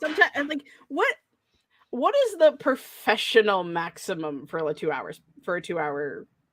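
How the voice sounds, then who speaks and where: The sound of this woman's voice is dry and close, without any echo. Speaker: writer. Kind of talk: casual chat. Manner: fast-talking; speeds up when excited.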